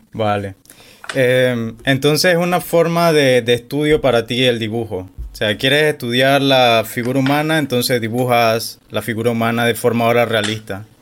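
With music in the background, a man speaks at medium pitch and a moderate pace. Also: ordinary pitch variation. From Panama. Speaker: podcast host. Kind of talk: interview.

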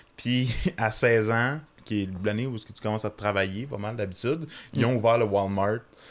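A man with an ordinary speaking voice talks at a moderate pace and a fairly low pitch, his intonation fairly even. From Quebec, small town. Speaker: comedian. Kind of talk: casual chat.

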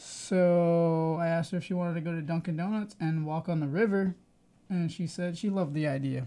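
A mumbling man with a high pitch and a dark, mellow tone, fairly quick with fairly even intonation, over a quiet background. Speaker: podcast co-host. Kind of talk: casual chat.

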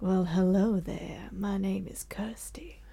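A female-sounding put-on character voice carries a sinister tone and a husky quality. It sits at medium pitch and moves at a fairly slow pace. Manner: sinister, serial-killer vibe.

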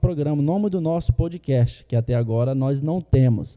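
The recording is very clean, with a silent background. A man speaks in a dark, mellow tone with ordinary pitch variation. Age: 30s. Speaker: school podcast host. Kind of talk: show announcement; casual talk show chat. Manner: halting, many fillers.

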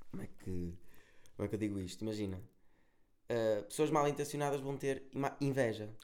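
A man with a European Portuguese accent, medium pitch and ordinary pitch variation, in audible room echo. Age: 20s. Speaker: musician and content creator. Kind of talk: casual chat. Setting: recording at an agency office.

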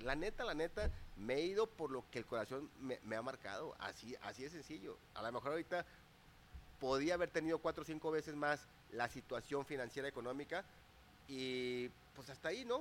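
A man talks fairly quickly with a fairly high pitch and lively intonation. It is a plain, everyday voice. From Mexico, Torreón, Coahuila. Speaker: business and life coach. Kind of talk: interview.

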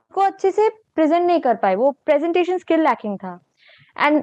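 This woman's high voice moves in very wide pitch swings, recorded with a dry, close sound with no echo over a quiet background. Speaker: engineering student. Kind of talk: casual chat.

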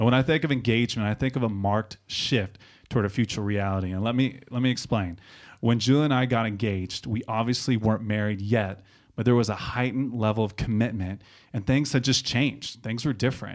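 In a very clean recording with a silent background, a man with a normal speaking voice talks at a fairly quick pace, his pitch medium and his intonation fairly even. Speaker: podcast host. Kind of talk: casual conversation and intro. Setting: studio.

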